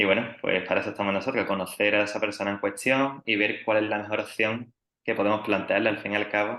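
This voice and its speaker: Here a man's bright, sharp tone sits at a fairly low pitch. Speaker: triathlon coach. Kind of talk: podcast interview.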